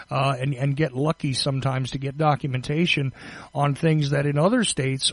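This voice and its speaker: Fairly quick and somewhat breathy, a man with a Northeastern US accent speaks at a fairly high pitch. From US Northeast, tri-state area. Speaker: podcast host. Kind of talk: interview. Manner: halting.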